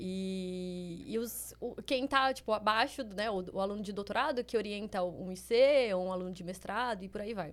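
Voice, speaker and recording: Her pitch is medium for a woman, with ordinary pitch variation. She speaks at a moderate pace with hardly any pauses. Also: very clean recording, silent background. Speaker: chemistry PhD and biotech entrepreneur. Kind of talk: casual chat interview.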